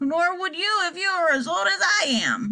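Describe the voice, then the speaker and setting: This put-on character voice is croaky and squeaky, with very wide pitch swings. It moves at a moderate pace with very even loudness. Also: woman. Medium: read story. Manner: feeble, doddering.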